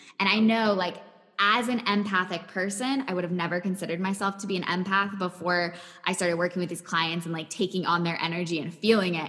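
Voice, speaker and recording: Intonation stays fairly even at a very fast pace. Noticeable background noise can be heard. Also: woman, medium pitch for a woman. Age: 20s. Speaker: mental health coach. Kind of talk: interview.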